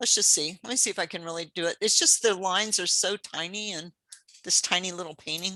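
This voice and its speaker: The woman's fairly low voice has fairly even intonation and a dry, close sound with no echo. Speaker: pastel painting teacher. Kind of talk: live painting demonstration. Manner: fast; casual, hesitant with fillers.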